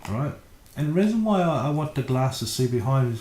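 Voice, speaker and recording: A man speaks with a dark, mellow tone and a somewhat breathy quality. His intonation is lively. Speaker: architectural designer. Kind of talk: tutorial. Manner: casual, hesitant with fillers.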